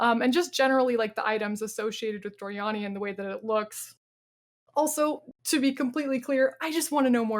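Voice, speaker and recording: An animated woman's voice with ordinary pitch variation, on a very clean recording with a silent background. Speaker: podcast co-host discussing video games. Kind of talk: casual panel discussion. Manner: fast.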